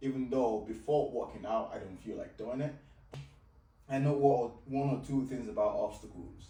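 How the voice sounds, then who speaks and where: A man speaks at a moderate pace in a medium pitch with a Nigerian accent and ordinary pitch variation. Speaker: fitness and life coach. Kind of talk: coaching conversation.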